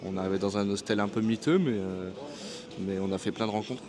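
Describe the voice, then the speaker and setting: With noticeable background noise behind him, a man talks at a fairly quick pace and a fairly low pitch. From France. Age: 20s. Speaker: vlogger, barber on working holiday. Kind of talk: casual vlog talk to camera. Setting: airport café. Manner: hesitant, many fillers.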